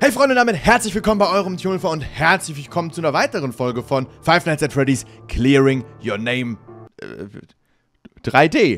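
A man talks at a fairly quick pace in a dry recording with no echo, with faint music in the background. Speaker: gaming streamer. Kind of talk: casual gaming commentary. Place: home room. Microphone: studio mic.

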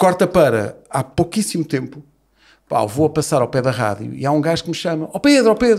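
A man talks at a fairly quick pace with a fairly high pitch and vocal fry. His pitch swings very widely. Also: quiet background. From Portugal. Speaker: radio host and football podcaster; radio host, football podcaster. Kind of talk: casual chat. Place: studio. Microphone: studio mic.

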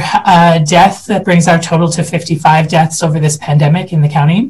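This man's voice is high-pitched and moves at a moderate pace. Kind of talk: briefing update to a committee. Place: office. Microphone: headset.

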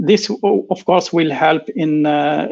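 A man talks at a very slow pace with a fairly high pitch and vocal fry. His pitch varies in an ordinary way, and the background is quiet. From Algeria. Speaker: computer science professor. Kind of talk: lecture. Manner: halting, many fillers and repeats. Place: home room. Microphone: video call.

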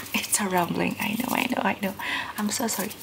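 A woman whispers. Her pace is moderate. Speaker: vlogger. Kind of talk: casual vlog chat. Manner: soft-spoken, smiling ASMR voice. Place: home room. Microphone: phone near.

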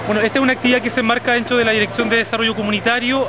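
A man speaks very fast over clear music in the background. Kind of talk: interview answer. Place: street. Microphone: phone near.

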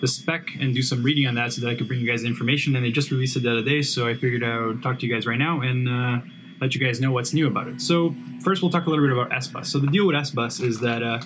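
Background music can be heard. Pitch moves up and down in a normal way. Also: man. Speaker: channel host. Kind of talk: casual tech vlog explanation. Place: home room.

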